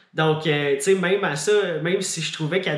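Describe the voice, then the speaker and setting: A man with a Quebec accent, fairly even intonation and a moderate pace. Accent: Québécois French. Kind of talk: casual vlog.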